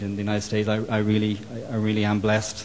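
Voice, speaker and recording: Someone with an Irish accent talks at a very fast pace against noticeable background noise. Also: man. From Ireland. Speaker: solar company executive. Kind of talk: panel discussion. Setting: roundtable event. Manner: halting, many repetitions and fillers.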